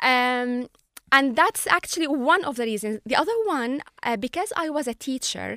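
A woman's high-pitched voice, bright and sharp in tone, with lively intonation, a moderate pace and an Arabic accent, in a dry, close sound with no echo and a very clean recording over a silent background. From Syria, Latakia. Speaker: journalist. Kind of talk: interview.

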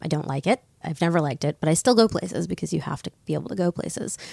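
A woman with an American accent at a very fast pace, fairly low in pitch with a dark, mellow tone, lively intonation and vocal fry, in a dry, close sound with no echo and a very clean recording over a silent background. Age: 40s. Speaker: author. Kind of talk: interview. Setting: studio in London.

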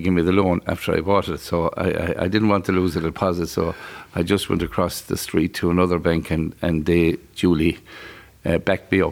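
A man with a west of Ireland accent, a very deep, low pitch, monotone, flat intonation and a fairly quick pace. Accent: west of Ireland Irish. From Ireland, County Galway. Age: 60s. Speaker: fast food business owner. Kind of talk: interview. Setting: on location at a motorway plaza.

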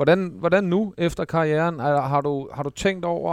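Over a quiet background, a man with an unremarkable speaking voice shows ordinary pitch variation. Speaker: podcast co-host, former footballer. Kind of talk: casual chat.

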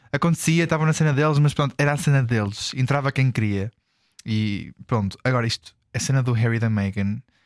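At a fairly quick pace, a man speaks in a medium pitch with ordinary pitch variation and very even loudness, the sound dry and close with no echo. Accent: European Portuguese. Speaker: podcast co-host. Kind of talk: casual chat.

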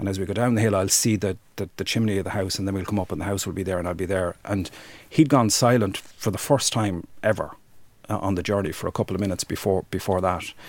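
In an Irish accent, this voice moves at a very fast pace with fairly even intonation, on a very clean recording with a silent background. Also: man, fairly low pitch for a man. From Ireland, rural Wexford. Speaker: human rights campaigner. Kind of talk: interview testimony.

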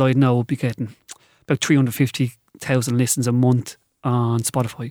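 Medium in pitch and monotone in flat intonation, a man's voice comes through dry and close with no echo. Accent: Dublin. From Ireland, north Dublin (Balbriggan). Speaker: novelist and secondary school teacher. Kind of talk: radio interview.

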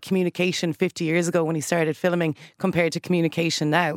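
Recorded very cleanly against a silent background, a woman's fairly low voice comes through dry and close, with no echo. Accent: Irish. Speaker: radio broadcaster. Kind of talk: radio panel discussion. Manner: animated.

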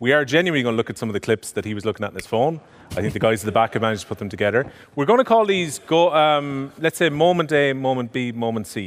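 Very fast and with lively intonation, a man talks with an Irish accent. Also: medium pitch for a man. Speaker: podcast host. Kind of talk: live podcast chat. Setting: theatre stage with audience.

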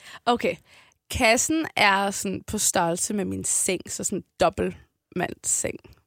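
A woman speaks very slowly at a medium pitch with vocal fry and ordinary pitch variation. The recording is very clean with a silent background, and the sound is dry and close with no echo. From Copenhagen, Amager. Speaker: rapper. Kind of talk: casual interview.

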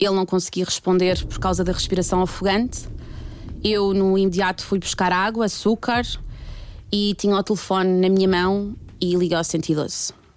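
Her medium-pitched voice moves at a moderate pace, and this woman keeps her intonation fairly even. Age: 30s. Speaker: storyteller. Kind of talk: testimony.

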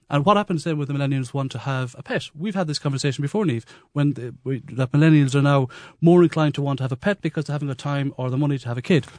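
In a quiet background with a dry, close sound and no echo, a man with an Irish accent talks at a very fast pace in a fairly high pitch. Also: ordinary pitch variation. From west of Ireland. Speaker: comedian. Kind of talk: radio panel discussion. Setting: studio. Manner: animated.

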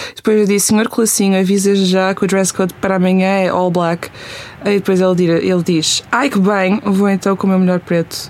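At a fairly quick pace, a woman of medium pitch speaks with fairly even intonation and very even loudness over noticeable background noise. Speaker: youtuber and singer. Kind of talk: casual chat. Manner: code-switching between Portuguese and English.

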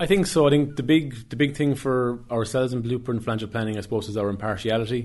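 Here a man speaks with a West Cork accent. He goes at a very fast pace. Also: medium pitch for a man, ordinary pitch variation. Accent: West Cork Irish. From West Cork, Ireland (Skibbereen). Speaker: financial planner. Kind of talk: interview.

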